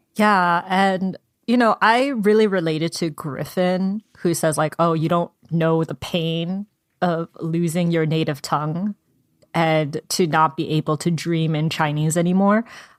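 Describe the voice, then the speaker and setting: A woman's plain, everyday voice, fairly low in pitch with ordinary pitch variation and a fairly slow pace, dry and close with no echo on a very clean recording with a silent background. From US (Korean American, moved from Seoul at age three). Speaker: book podcast co-host. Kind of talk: casual book discussion.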